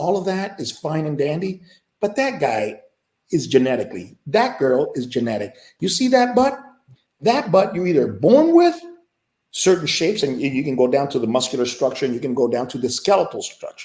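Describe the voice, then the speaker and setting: Pitched fairly high, a man speaks with very wide pitch swings. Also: moderate pace. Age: 60s. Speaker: fitness coach. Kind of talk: panel discussion. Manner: halting; animated.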